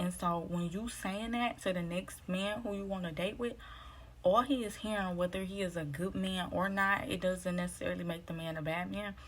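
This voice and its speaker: A woman speaks with a somewhat breathy voice and fairly even intonation. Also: moderate pace. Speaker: vlogger giving dating advice. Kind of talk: casual vlog monologue. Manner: low, quiet voice.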